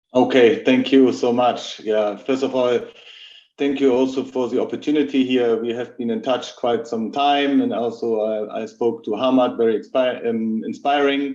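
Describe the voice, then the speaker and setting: A man's medium-pitched voice, dark and mellow, flat and monotone, at a moderate pace. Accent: German. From Germany. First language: German. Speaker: logistics executive. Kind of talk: webinar talk. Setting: live video call webinar.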